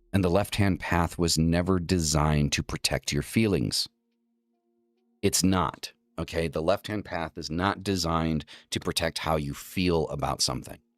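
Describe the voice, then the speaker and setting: A man with an American accent and a very deep, low pitch, moderate pace, fairly even intonation, dry, close sound with no echo, and music in the background. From rural northeastern US. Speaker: occult livestream host. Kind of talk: talk lecture.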